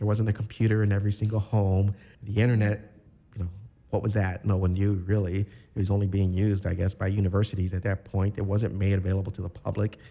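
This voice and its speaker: In a Chicago accent, a man speaks at a very fast pace with monotone, flat intonation. His voice is fairly low, somewhat breathy, and dark and mellow. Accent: Chicago American English. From Chicago, north side (Bucktown), Puerto Rican family. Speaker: architecture graduate and military veteran. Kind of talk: podcast interview. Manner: relaxed, many filler words.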